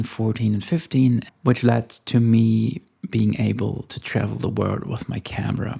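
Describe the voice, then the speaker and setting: Speaking with a German accent, a man talks at medium pitch and a moderate pace in a dark, mellow, somewhat breathy tone. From Germany. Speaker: photographer. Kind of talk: casual vlog monologue. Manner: slightly halting.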